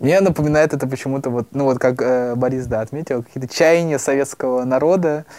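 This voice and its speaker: At a fairly quick pace with hardly any pauses, a man speaks in an ordinary speaking voice at a medium pitch, with fairly even intonation. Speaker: student podcaster. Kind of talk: casual discussion of old newspapers.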